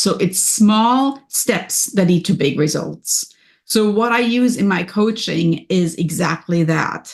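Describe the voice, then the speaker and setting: Against a quiet background, a woman speaks very slowly at a medium pitch, somewhat breathy, with lively intonation. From Germany. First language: German. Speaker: business and wellness coach. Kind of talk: podcast interview. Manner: energetic.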